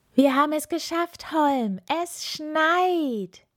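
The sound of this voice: A woman does a put-on character voice with a high pitch and a fairly bright tone. She speaks at a slow pace with lively intonation.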